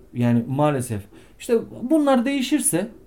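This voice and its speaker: A man's dark, mellow voice at a moderate pace, with very wide pitch swings. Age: 30s. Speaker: tattoo artist. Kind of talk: interview.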